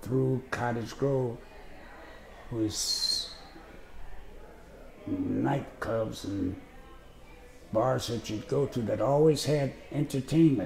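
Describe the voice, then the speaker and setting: Against noticeable background noise, a man with an American accent speaks at a very slow pace in a relaxed tone with ordinary pitch variation. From US Midwest, Chicago. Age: 80s+. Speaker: retired postal worker, interviewee. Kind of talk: autobiographical interview. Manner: relaxed reminiscing with hesitations.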